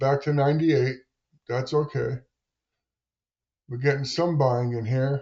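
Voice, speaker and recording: This man's voice is somewhat breathy, with a dark, mellow tone and a fairly high pitch. He talks at a fairly slow pace with monotone, flat intonation. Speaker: day trader streamer. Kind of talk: live trading commentary; casual advice talk. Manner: halting, many fillers.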